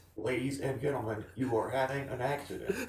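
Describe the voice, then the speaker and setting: A man does a robotic, put-on character voice at medium pitch and a fairly quick pace, with slight echo. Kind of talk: formal public announcement.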